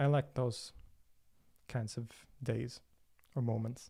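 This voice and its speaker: A man's somewhat breathy voice with a Swedish accent, medium pitch, fairly even intonation, a dark, mellow tone and a very slow pace. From Sweden, Stockholm. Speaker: religion and philosophy video creator. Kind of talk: livestream Q&A. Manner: hesitant, many fillers and repetitions.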